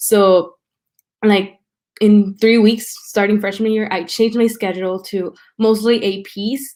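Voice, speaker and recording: A woman with a Spanish accent and monotone, flat intonation. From Mexico and South Texas. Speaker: college student. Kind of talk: interview, personal story. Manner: casual, many fillers.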